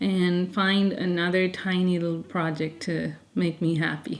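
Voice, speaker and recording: A soft-spoken woman talks at a medium pitch. Her pitch variation is ordinary. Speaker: lifestyle vlogger. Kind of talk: casual vlog talk to camera. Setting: at home.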